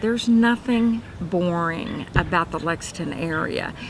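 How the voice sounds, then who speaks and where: With a Kentucky accent, a woman speaks very slowly at a medium pitch with ordinary pitch variation, over noticeable background noise. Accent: Kentucky Southern US. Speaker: realtor. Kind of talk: self-introduction promo. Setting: cafe. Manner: casual with many fillers.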